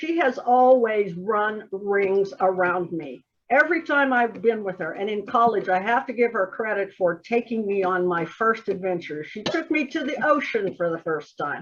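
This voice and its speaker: Lively in intonation, a woman with an ordinary speaking voice speaks at a fairly high pitch and a moderate pace. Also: hardly any pauses. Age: 60s. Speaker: group administrator. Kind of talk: casual chat.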